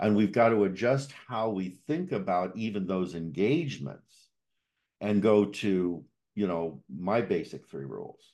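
The man's voice carries a dark, mellow tone, a fairly low pitch and lively intonation. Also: fairly slow pace, quiet background. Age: 60s. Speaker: podcast host and coach. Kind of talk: podcast interview conversation.

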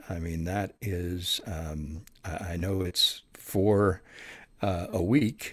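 In a very clean recording with a silent background, a man with a very deep, low pitch speaks with ordinary pitch variation. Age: 60s. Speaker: audiobook narrator and former radio news anchor. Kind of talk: interview.

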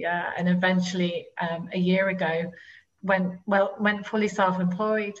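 A woman's medium-pitched, somewhat breathy voice in a British accent, monotone and flat at a fairly slow pace. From UK. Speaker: life coach. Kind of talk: interview.

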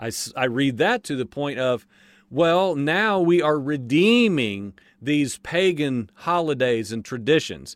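In a very clean recording with a silent background, a man with an unremarkable speaking voice talks at a fairly slow pace, his fairly high pitch moving with lively intonation. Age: 40s. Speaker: religious podcast host. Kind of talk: casual religious monologue.

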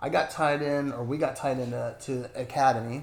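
A man speaks at medium pitch, somewhat breathy. Audible room echo surrounds the voice. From Northern California, near Oregon border. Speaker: lawn care business owner. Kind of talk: casual interview.

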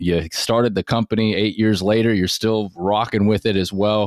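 This man has an ordinary speaking voice, fairly low in pitch, with an American accent. He keeps a moderate pace, and the sound is dry and close with no echo. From US West Coast, Seattle area. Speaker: podcast host. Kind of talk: interview.

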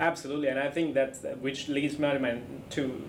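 With an Australian accent, a man speaks at a moderate pace and medium pitch over noticeable background noise. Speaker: podcast host. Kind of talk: interview. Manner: casual, enthusiastic.

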